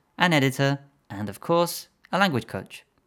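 A man with a plain, everyday voice and medium pitch talks at a fairly quick pace with lively intonation, in a very clean recording with a silent background. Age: 20s. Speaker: language coach. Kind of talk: solo podcast monologue.

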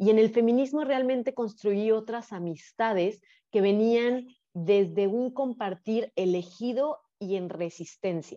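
Fairly high in pitch yet dark and mellow in tone, a woman speaks at a fairly slow pace with ordinary pitch variation. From Mexico, Guadalajara, Jalisco. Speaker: sex educator and psychologist. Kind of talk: casual interview, personal testimony.

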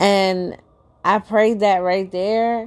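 A woman's fairly even intonation on a very clean recording with a silent background. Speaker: motivational podcaster. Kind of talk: motivational monologue. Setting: solo recording. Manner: casual, conversational with fillers.

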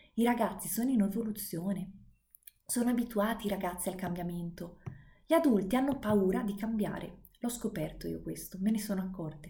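A woman with a dark, mellow, somewhat breathy tone speaks at a medium pitch and a fairly quick pace, with ordinary pitch variation and audible room echo. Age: 20s. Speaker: podcaster and private tutor. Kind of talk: monologue lesson.

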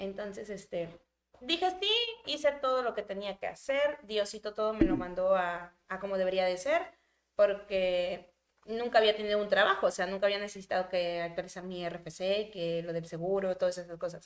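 Ordinary pitch variation at a moderate pace. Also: woman, medium pitch for a woman. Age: 20s. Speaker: content creator. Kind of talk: casual chat. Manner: talkative.

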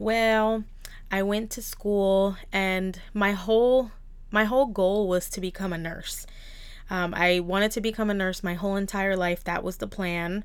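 A woman speaks at a moderate pace with an American accent, medium pitch and fairly even intonation, in an ordinary speaking voice. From New Jersey. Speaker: beauty salon owner and podcaster. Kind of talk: solo podcast monologue.

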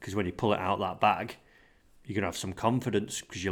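A man with a fairly low voice is heard on a very clean recording with a silent background. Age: 30s. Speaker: golf coach. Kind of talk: casual chat.

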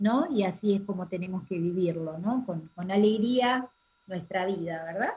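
A woman speaks at a fairly slow pace in an unremarkable speaking voice. Her pitch is medium with ordinary variation. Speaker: radio host. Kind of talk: radio interview.

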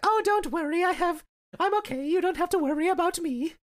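The put-on character voice is squeaky and extremely high, moving at a moderate pace. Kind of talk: Victorian, prim. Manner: reassuring, brushing it off.

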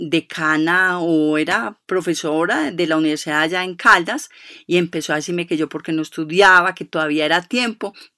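A woman speaks in a fairly low voice with a bright, sharp tone and ordinary pitch variation. She leaves hardly any pauses. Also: very clean recording, silent background. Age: 50s. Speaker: foundation director and co-founder. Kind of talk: radio interview.

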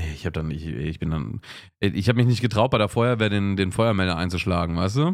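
Here is a plain, everyday voice from a man with a fairly low pitch and ordinary pitch variation. The recording is very clean, its background silent. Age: 30s. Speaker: podcast co-host. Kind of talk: casual chat.

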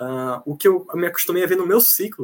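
A man is speaking. He goes at a very fast pace. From Bahia, Brazil (Jacobina). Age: 20s. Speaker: student. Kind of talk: casual interview. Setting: video call from home kitchen.

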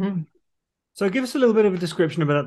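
With a British accent, a man talks in lively intonation. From UK. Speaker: podcast host. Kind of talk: interview. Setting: video call. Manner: animated.

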